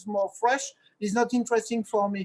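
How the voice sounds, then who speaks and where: Dry and close with no echo, a man's voice sits at an extremely high pitch, with a French accent and monotone, flat intonation. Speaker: winemaker. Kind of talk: online presentation. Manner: halting.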